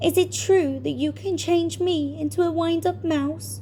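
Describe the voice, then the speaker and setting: Through clear background noise, a put-on character voice comes at a moderate pace. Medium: read story.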